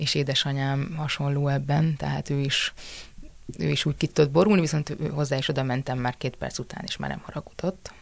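A woman's very deep, low voice with vocal fry, fairly quick and fairly even in intonation. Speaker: actress. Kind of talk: casual chat.

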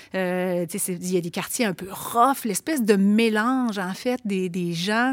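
A woman talks at a very slow pace with hardly any pauses. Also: medium pitch for a woman, ordinary pitch variation. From Quebec City, Limoilou. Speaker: author and teacher. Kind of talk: casual chat.

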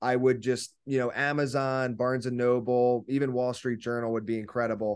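Fairly quick and monotone, a man speaks with flat intonation at a medium pitch. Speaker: author and book publisher. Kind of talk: interview.

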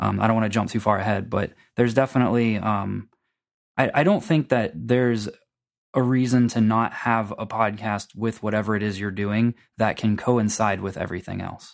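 A normal speaking voice with an American accent delivers fairly even intonation at a moderate pace on a very clean recording with a silent background. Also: man, fairly low pitch for a man. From Florida. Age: 20s. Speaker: podcaster and internet marketer. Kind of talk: casual chat.

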